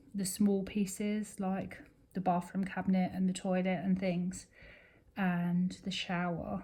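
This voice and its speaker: The voice has a dark, mellow tone, somewhat breathy, with monotone, flat intonation. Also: woman. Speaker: crafting YouTuber. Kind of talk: casual chat while crafting. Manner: slow; halting.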